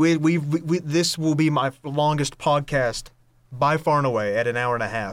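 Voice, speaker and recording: An ordinary speaking voice from a man with an American accent, fairly high in pitch with ordinary pitch variation, on a very clean recording with a silent background. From North Carolina, Hudson/Lenoir area. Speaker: podcast host, college student. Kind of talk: casual chat.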